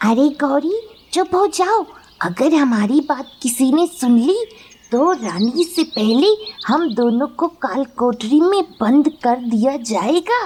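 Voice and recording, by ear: A cartoonish character voice that sounds female, pitched high. She speaks at a fairly slow pace.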